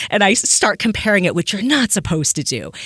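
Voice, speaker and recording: In an American accent, a woman speaks at a fairly quick pace with ordinary pitch variation, the sound dry and close with no echo in a very clean recording with a silent background. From US Southwest. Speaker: podcast host and fan fiction writer. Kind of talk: casual interview chat.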